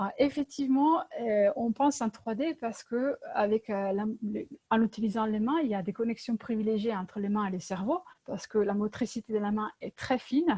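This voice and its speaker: A woman with an Italian accent speaks at a moderate pace in a fairly high pitch with ordinary pitch variation, the sound dry and close with no echo. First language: Italian (speaking French). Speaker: LEGO workshop facilitator. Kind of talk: presentation. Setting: video call. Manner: hesitant, many fillers.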